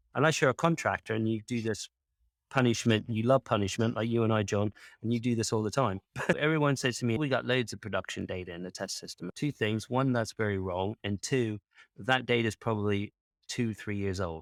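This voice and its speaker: An unremarkable speaking voice, a man at a medium pitch with a fairly quick pace and ordinary pitch variation, dry and close with no echo on a very clean recording with a silent background. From US South, Kentucky. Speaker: data quality consultant. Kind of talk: podcast interview.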